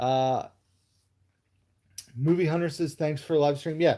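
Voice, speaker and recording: A dark, mellow tone carries fairly even intonation at a moderate pace. The recording is very clean, with a silent background. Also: man. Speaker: movie YouTuber. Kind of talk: live stream chat with viewers. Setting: live stream at home. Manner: casual, hesitant with fillers.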